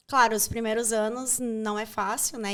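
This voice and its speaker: On a very clean recording with a silent background, a woman with an unremarkable speaking voice and fairly high pitch talks at a fairly slow pace. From Brazil. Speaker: journalist and actress. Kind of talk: interview conversation.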